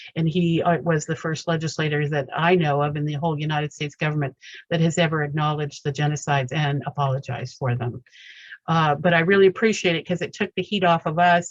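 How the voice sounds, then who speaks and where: Very fast, somewhat breathy speech with fairly even intonation. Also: woman, very deep, low pitch for a woman. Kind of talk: testimony.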